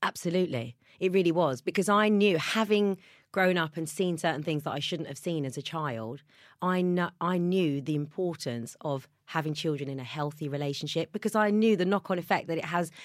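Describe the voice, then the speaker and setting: On a very clean recording with a silent background, a woman with a southern English accent talks at a fairly quick pace, her fairly low pitch showing ordinary variation. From southern England. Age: 40s. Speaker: mother. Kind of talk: casual chat.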